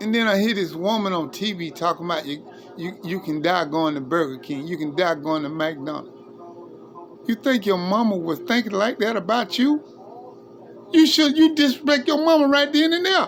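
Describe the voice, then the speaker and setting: A man speaks at a moderate pace with a high pitch and very wide pitch swings. Noticeable background noise sits behind him. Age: 60s. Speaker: livestreamer. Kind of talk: informal preaching monologue. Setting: live stream. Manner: impassioned.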